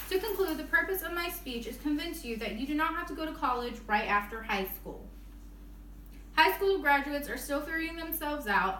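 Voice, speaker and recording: A woman's high-pitched, bright, sharp voice is raised and projected, moving at a fairly quick pace with very wide pitch swings and audible room echo. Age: 20s. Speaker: college student. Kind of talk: persuasive speech. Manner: halting.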